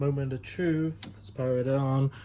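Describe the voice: Dark and mellow in tone, a man speaks at medium pitch with little pitch movement. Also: moderate pace.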